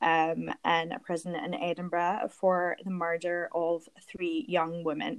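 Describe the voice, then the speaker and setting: A woman's fairly low voice with a Glaswegian accent, very slow pace and fairly even intonation, on a very clean recording with a silent background. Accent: Scottish, Glaswegian. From Glasgow, Scotland. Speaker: guest storyteller, true crime fan. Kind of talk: casual storytelling.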